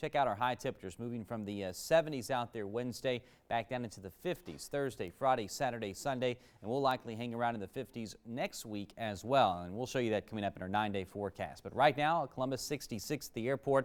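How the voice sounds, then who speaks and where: The speaker has an American accent and ordinary pitch variation. The pace is very fast. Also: man, medium pitch for a man, hardly any pauses. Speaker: chief meteorologist, TV weather forecaster. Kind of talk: local TV weather forecast. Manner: conversational, fluent.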